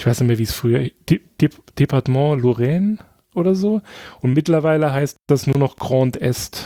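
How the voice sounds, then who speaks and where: This man's fairly high voice has a dark, mellow tone and ordinary pitch variation. He speaks with long, frequent pauses. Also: moderate pace, dry, close sound with no echo. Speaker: podcast guest. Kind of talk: casual chat. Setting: remote call.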